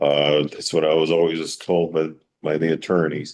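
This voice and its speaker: Against a quiet background, a man with a New York accent talks at a fairly quick pace. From New York, Long Island. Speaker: town board member. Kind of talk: public meeting deliberation. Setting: town board public hearing. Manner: halting.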